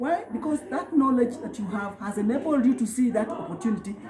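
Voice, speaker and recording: A woman's high voice at a fairly quick pace, with very wide pitch swings and noticeable background noise. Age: 60s. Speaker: job candidate being vetted. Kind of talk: interview.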